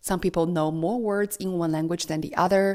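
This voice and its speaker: A woman with a Chinese accent, fairly low pitch, a dark, mellow tone and ordinary pitch variation, in a very clean recording with a silent background. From China. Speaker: parenting vlogger. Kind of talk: scripted narration.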